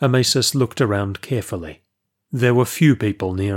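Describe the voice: Ordinary pitch variation in plain reading aloud, the background quiet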